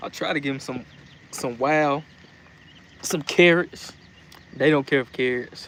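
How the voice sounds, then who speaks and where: A man with a Southern US accent speaks at a fairly slow pace, with long, frequent pauses. His pitch is fairly high and his intonation fairly even. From US South. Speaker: livestreamer chicken keeper. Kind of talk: casual live stream chat. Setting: live stream.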